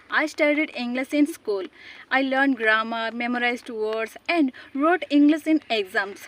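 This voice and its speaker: A high-pitched woman with an Odisha accent, moderate pace and ordinary pitch variation. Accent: Indian (Odia) English. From Odisha, India. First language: Odia. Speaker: English teacher, YouTuber. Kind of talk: English lesson talk to camera.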